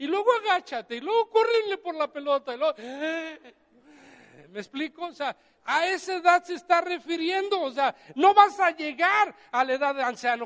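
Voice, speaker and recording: With lively intonation and big swings in loudness, a man speaks at an extremely high pitch. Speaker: pastor. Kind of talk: sermon.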